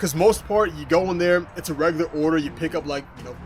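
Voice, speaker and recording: A man is speaking. His voice is high in pitch. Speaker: delivery driver and YouTuber. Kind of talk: casual commentary reacting to comments. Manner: loud.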